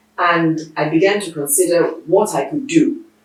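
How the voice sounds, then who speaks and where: With audible room echo, a woman speaks at a fairly slow pace and a fairly low pitch. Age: 60s. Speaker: veteran television producer and broadcaster. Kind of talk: interview. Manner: halting, with many fillers.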